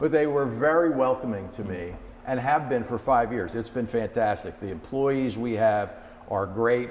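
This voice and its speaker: With a New Jersey accent, a man talks at a moderate pace. His pitch is medium, with ordinary variation. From US Northeast, Jersey City, New Jersey. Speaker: company executive. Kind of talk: interview.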